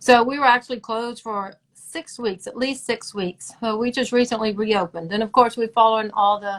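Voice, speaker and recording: A woman with a Southern US accent, at a moderate pace. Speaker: dermatologist. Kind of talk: live-streamed interview.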